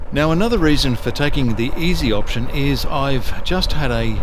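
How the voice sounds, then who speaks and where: A man with an Australian accent and a relaxed tone, at a moderate pace, with audible room echo and noticeable background noise. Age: 60s. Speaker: motorcycle vlogger. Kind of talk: riding vlog narration. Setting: riding motorcycle outdoors. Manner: relaxed, casual.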